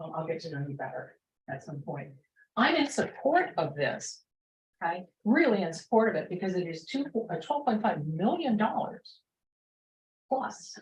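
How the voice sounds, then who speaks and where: A woman with a medium, somewhat breathy voice speaks at a moderate pace, her pitch swinging very widely between long, frequent pauses. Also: big swings in loudness. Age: 60s. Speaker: public commenter at county meeting. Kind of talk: public comment at meeting. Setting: county board meeting room.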